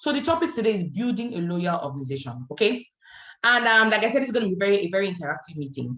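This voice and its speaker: A woman talking at a very fast pace, with very wide pitch swings. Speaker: network marketing trainer. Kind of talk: online training session. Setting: video call. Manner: animated.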